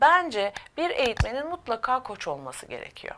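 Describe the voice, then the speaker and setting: At a moderate pace, a woman speaks in a high voice with very wide pitch swings. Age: 50s. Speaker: corporate trainer and coach. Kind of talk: interview. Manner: hesitant, many filler sounds.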